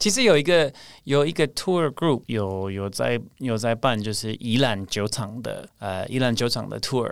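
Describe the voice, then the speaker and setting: Against a silent background, the recording is very clean. A man's medium-pitched voice rises and falls with lively intonation. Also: fairly slow pace. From US Pacific Northwest, Portland, Oregon. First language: English (speaking Chinese). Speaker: craft brewery owner. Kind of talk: casual interview.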